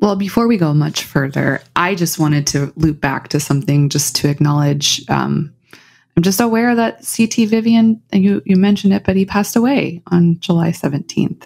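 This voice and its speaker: Using an ordinary speaking voice, a woman with a fairly low pitch talks at a moderate pace with lively intonation and very even loudness. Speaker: podcast co-host. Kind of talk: casual chat.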